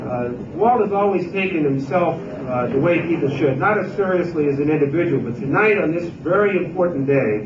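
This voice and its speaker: A man with a high pitch and lively intonation, at a fairly quick pace with hardly any pauses, over noticeable background noise. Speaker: state governor. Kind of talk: speech at retirement party.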